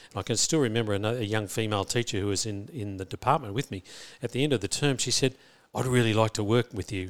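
In an Australian accent, a man talks at a very fast pace and medium pitch with ordinary pitch variation, the sound dry and close with no echo on a very clean recording with a silent background. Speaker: school principal. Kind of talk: interview. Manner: halting, many fillers and repetitions.

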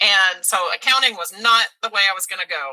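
A woman with a Texan accent speaks at a moderate pace in a medium pitch. Her tone is bright and sharp, with a dry, close sound and no echo. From Texas (Mesquite, Dallas area). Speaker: theater teacher. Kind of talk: casual interview.

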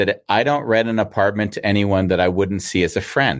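A man with a plain, everyday voice, fairly low in pitch, ordinary pitch variation, fairly quick pace. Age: 50s. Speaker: talk show host. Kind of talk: casual chat. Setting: video call.

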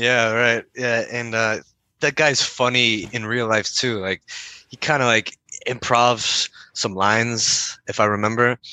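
Speaking at a fairly slow pace, a man with a Canadian accent holds a medium pitch in monotone, flat intonation. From Windsor, Ontario, Canada. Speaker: video game voice and motion capture actor. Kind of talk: casual interview chat. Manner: halting, repeats words.

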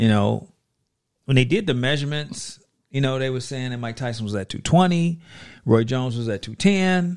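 With an American accent, a man has a plain, everyday voice at a medium pitch. He talks at a moderate pace with lively intonation on a very clean recording with a silent background. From Chicago. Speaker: sports fan guest. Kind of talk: casual chat.

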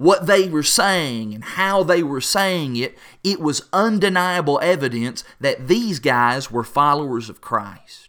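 With a Kentucky Appalachian accent, a man speaks in a fairly high pitch with a bright, sharp tone, lively intonation, hardly any pauses and big swings in loudness. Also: fairly slow pace. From Appalachia, Kentucky. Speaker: preacher. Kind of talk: devotional talk.

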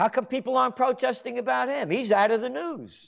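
An American-accented man speaks at an extremely high pitch. His tone is animated and his pace fairly quick. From New York. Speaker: radio host. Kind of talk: talk radio monologue.

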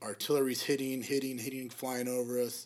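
An unremarkable speaking voice, a man's, medium-pitched with an American accent at a fairly quick pace, in a very clean recording with a silent background. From Arizona, South Phoenix. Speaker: Marine veteran and videographer. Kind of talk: casual interview.

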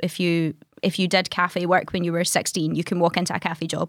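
A woman with a west of Scotland accent talks at a moderate pace in a monotone, flat intonation, on a very clean recording with a silent background. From Scotland, Greenock (west coast). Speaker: artist and content creator. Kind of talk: interview about grief and depression.

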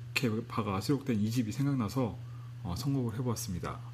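At a moderate pace, a man speaks at a medium pitch, somewhat breathy, with fairly even intonation. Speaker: internet radio DJ. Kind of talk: unscripted music radio talk. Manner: halting.

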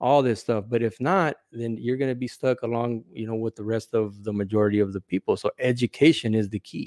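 A man with an American accent and a normal speaking voice talks at a fairly quick pace, with hardly any pauses. His pitch varies in an ordinary way. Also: medium pitch for a man, dry, close sound with no echo. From California. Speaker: former correctional officer. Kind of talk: casual interview.

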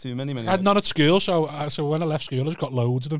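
A man talks with a Liverpool accent. His pitch varies in an ordinary way. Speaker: stand-up comedian, podcast co-host. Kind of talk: casual, sweary banter. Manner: fast talker.

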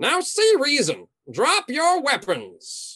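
In a put-on character voice, a man speaks with an extremely high pitch at a very slow pace. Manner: furious when defied; smug, mocking, theatrical.

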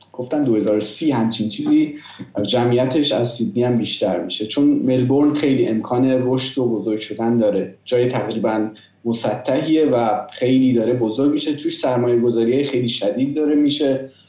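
A man's medium-pitched voice at a moderate pace, very even in loudness, with ordinary pitch variation, audible room echo and noticeable background noise. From Iran. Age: 30s. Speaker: software development manager. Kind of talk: casual interview.

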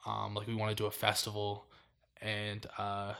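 This man speaks at a fairly low pitch. The recording is very clean, with a silent background. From US, born in Miami, Florida. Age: 20s. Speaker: streetwear brand founder. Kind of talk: casual chat.

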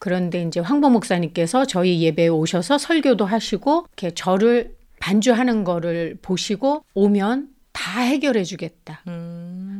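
Lively intonation and a dark, mellow tone carry a woman's speech at a fairly slow pace. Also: medium pitch for a woman. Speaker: church organist. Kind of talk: interview.

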